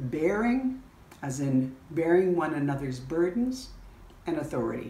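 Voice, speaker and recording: Her pitch swinging very widely, a woman speaks at a fairly slow pace with audible room echo. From Canada. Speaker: church bishop. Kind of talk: sermon. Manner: earnest, pleading. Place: home room. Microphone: phone near.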